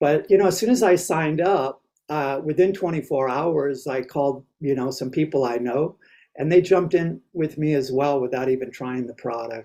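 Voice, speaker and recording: Speaking at a moderate pace, a man has a fairly high pitch, ordinary pitch variation, and a dark, mellow tone. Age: 60s. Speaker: network marketing distributor. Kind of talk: testimony. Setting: video call.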